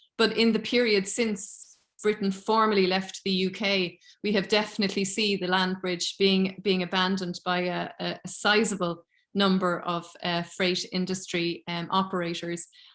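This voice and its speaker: On a very clean recording with a silent background, a woman with a Cork accent speaks in a monotone, flat way. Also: medium pitch for a woman, moderate pace. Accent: Irish (Cork). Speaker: politics lecturer. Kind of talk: academic seminar Q&A.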